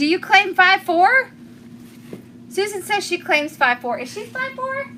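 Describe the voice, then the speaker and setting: In a Southern US accent, a woman speaks at an extremely high pitch with very wide pitch swings and a raised, projected voice. Her pace is fairly slow, and there is noticeable background noise. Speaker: craft tutorial host. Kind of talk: live-stream craft tutorial. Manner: chatty, casual.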